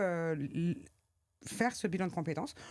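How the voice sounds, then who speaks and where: A woman talks at a fairly slow pace. Her intonation is lively. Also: very clean recording, silent background. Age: 40s. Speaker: trainer and consultant, single mother. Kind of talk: interview. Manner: hesitant, many fillers.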